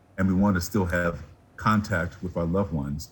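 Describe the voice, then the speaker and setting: On a very clean recording with a silent background, a man speaks very fast in a very deep, low, somewhat breathy voice. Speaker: physician. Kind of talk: TV news interview.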